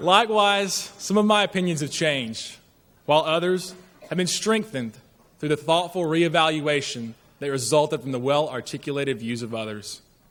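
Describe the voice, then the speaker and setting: A man talks with a strong Southern US accent and lively intonation. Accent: deep Southern drawl. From rural northern Alabama. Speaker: graduating student speaker. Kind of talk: commencement speech. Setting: stage with large audience. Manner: formal.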